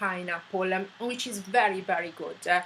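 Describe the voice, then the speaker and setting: With an Italian accent, a woman speaks against noticeable background noise. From Italy. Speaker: vlogger. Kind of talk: personal story monologue. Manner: hesitant, many fillers.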